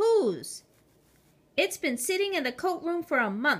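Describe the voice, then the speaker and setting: A woman uses a put-on character voice, high-pitched with very wide pitch swings. She speaks at a fairly slow pace. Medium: read story. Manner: authoritative, brusque.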